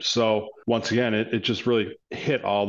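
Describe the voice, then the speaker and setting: Against a quiet background, the speaker uses a monotone, flat intonation with an American accent at a fairly slow pace. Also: man. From Northern Illinois, Rochelle. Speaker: construction executive. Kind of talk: interview.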